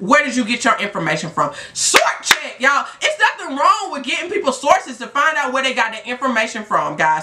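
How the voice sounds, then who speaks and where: Speaking at a fairly quick pace, a woman uses a raised, projected voice that is high in pitch and swings very widely. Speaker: STD life coach and vlogger. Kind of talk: passionate vlog rant. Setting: video blog. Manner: animated; emphatic. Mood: frustrated, insistent. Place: home room. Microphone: phone near.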